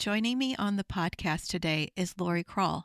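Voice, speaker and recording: In a normal speaking voice, a woman with an American accent talks at a moderate pace and a fairly low pitch, in a dry, close sound with no echo on a very clean recording with a silent background. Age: middle-aged. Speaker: podcast host. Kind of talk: podcast interview; scripted introduction.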